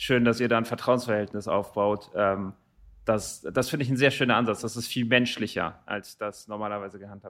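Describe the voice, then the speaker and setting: A man with a normal speaking voice and medium pitch, at a fairly quick pace with fairly even intonation and big swings in loudness, in a very clean recording with a silent background. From Germany, Rothenburg area. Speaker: podcast host. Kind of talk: interview.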